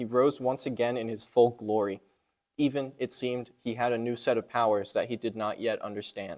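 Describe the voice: The background stays quiet. The delivery is plain reading aloud with fairly even intonation.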